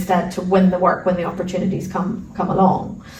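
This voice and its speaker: Amid noticeable background noise and audible room echo, a woman with an Irish accent speaks at a fairly quick pace in a medium pitch. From Ireland. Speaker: arbitration lawyer. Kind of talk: interview.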